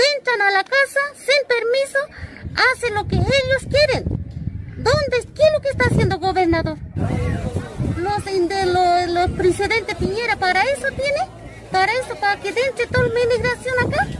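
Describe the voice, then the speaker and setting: Fairly slow delivery with lively intonation over crowd noise in the background. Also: woman, extremely high pitch for a woman. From northern Chile altiplano, Colchane. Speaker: local resident interviewed. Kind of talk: testimony. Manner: halting.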